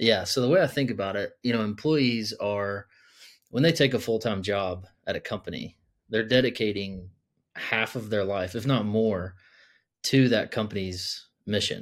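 A man's fairly low voice, a plain, everyday voice at a moderate pace with ordinary pitch variation, on a very clean recording with a silent background. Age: 30s. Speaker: startup founder. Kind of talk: casual interview.

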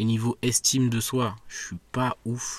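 On a very clean recording with a silent background, a man talks at a medium pitch in a somewhat breathy voice. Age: 20s. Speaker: podcaster. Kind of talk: solo monologue. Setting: outdoors in a park. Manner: hesitant, many fillers.

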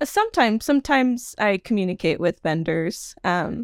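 A woman with an American accent speaks at a moderate pace with very wide pitch swings, recorded very cleanly against a silent background with a dry, close sound and no echo. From Nevada, US. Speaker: wedding venue consultant. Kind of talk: casual interview.

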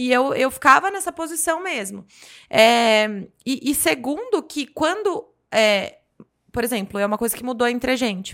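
With very wide pitch swings and long, frequent pauses, a woman speaks at a high pitch. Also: moderate pace. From Brazil, Jundiaí, São Paulo state. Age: 30s. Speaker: business mentor and podcaster. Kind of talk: casual chat.

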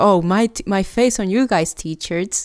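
In a very clean recording with a silent background, a woman with a Puerto Rican accent speaks at a medium pitch. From Puerto Rico. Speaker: podcast co-host. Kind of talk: casual chat. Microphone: new gaming headset microphone.

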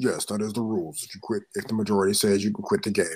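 A man's put-on character voice, fairly low-pitched and delivered at a very fast pace. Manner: straightforward, matter-of-fact.

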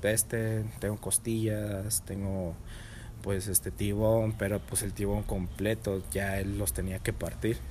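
A man's fairly low voice with a Mexican accent at a very slow pace, plus audible room echo. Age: 20s. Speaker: chef. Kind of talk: casual chat.

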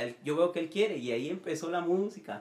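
A man speaks with lively intonation. Behind him there is noticeable background noise. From Nicaragua, moved to Costa Rica at about 12. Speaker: church musician. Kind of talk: casual chat.

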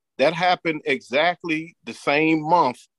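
Very slow speech over a quiet background. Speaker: talk show co-host. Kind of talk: live panel discussion. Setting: video call.

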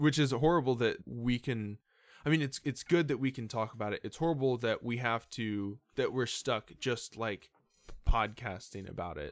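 Over a very clean recording with a silent background, a man with an ordinary speaking voice talks at medium pitch and a moderate pace, with ordinary pitch variation. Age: 20s. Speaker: podcast host. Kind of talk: casual chat.

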